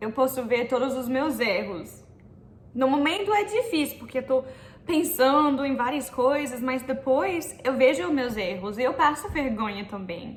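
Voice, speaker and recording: Amid noticeable background noise and audible room echo, a woman with an American accent speaks at a fairly slow pace in a high pitch with lively intonation. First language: English (speaking Portuguese). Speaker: YouTuber giving language tips. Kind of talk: vlog-style tutorial.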